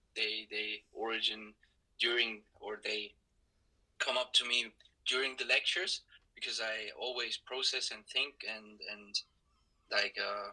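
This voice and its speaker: With a Swiss German accent, a man speaks at a fairly slow pace. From Switzerland, Zurich. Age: 20s. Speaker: university student. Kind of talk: casual conversation. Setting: audio-only podcast recording. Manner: halting, frequent repetitions.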